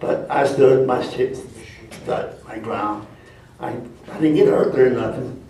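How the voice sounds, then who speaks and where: Speaking very slowly with an American accent, a man's loudness swings widely amid noticeable background noise and audible room echo. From US. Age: 90s. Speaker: war veteran. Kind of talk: testimony. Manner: halting.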